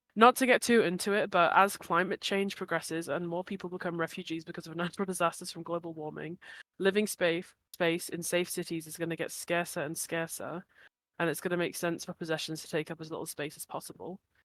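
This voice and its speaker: A very fast woman's voice at a fairly low pitch, with fairly even intonation and big swings in loudness, on a very clean recording with a silent background and a dry, close sound with no echo. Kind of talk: reading aloud prepared answer; casual chat.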